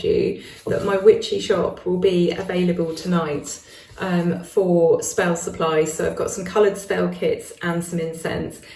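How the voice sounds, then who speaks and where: Over noticeable background noise, a woman with a British accent speaks at a moderate pace. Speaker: witchcraft YouTuber. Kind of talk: casual chat to camera.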